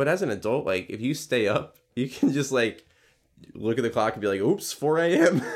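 A man with medium pitch uses an ordinary speaking voice. He talks at a moderate pace with lively intonation. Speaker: podcast host, preschool teacher. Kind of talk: casual chat.

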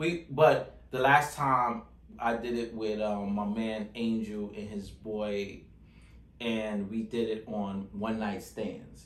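A man at a medium pitch and a very slow pace, with audible room echo. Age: 30s. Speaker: podcast host. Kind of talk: casual chat. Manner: animated.

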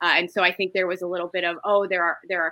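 A woman with an Inland North US accent talks at a very fast pace. Her fairly low voice has a bright, sharp tone and monotone, flat intonation. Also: dry, close sound with no echo. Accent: Midwestern US (Inland North). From Ohio, Toledo. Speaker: state politics commentator. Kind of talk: casual interview.

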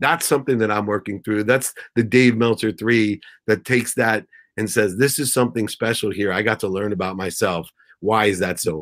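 Fairly low-pitched male speech at a fairly quick pace with ordinary pitch variation, in a very clean recording against a silent background. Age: 50s. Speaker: entrepreneur and motivational speaker. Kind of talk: interview.

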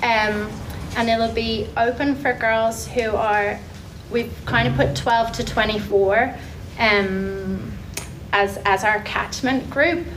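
A woman with an Irish accent speaks very slowly at a fairly high pitch, with ordinary pitch variation and very even loudness, amid audible room echo and noticeable background noise. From Ireland. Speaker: mental wellness group founder. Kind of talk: public talk. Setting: community event with audience.

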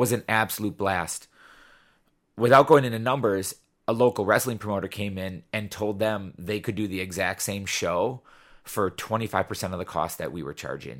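The recording is very clean with a silent background, carrying a plain, everyday voice at a moderate pace with ordinary pitch variation. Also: man, fairly low pitch for a man. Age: 40s. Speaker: teacher and wrestling show promoter. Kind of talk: casual chat.

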